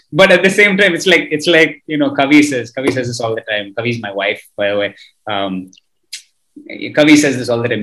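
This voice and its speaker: With a bright, sharp tone, a man talks at a fairly quick pace, his pitch swinging very widely. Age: 30s. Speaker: podcast host. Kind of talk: casual interview chat. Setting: video call. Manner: animated.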